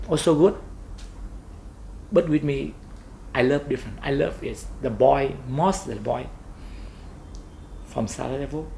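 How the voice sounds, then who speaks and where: Speaking with a Vietnamese accent, a man moves at a fairly slow pace with long, frequent pauses. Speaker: football club owner. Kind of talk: interview. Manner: halting.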